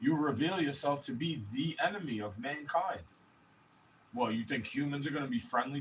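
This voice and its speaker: Mumbling and somewhat breathy, a man speaks with a fairly high pitch. His intonation is lively. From New York City. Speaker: vlogger. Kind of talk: casual rant. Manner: fast.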